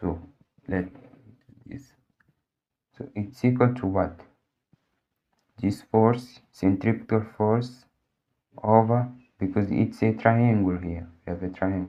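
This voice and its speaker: The tone is dark and mellow, with fairly even intonation. Delivery is very slow, with long, frequent pauses. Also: man, fairly low pitch for a man. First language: Portuguese. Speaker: physics tutor. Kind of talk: tutorial. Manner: halting, with many fillers.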